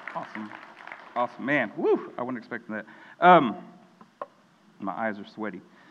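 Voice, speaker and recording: A man with an American accent, a medium pitch and lively intonation, speaking at a moderate pace with big swings in loudness and long, frequent pauses, crowd noise in the background. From Texas, Mexican American family. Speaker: student pastor. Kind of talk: sermon.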